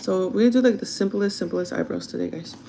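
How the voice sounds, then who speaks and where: A woman speaks at a very fast pace. There is noticeable background noise. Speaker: livestreamer doing makeup. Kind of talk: casual chat.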